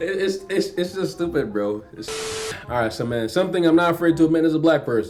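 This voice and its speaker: A man with a slight Jamaican accent, fairly high pitch, lively intonation and a fairly quick pace, over noticeable background noise. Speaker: YouTuber. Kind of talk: reaction video chat. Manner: clear enunciation.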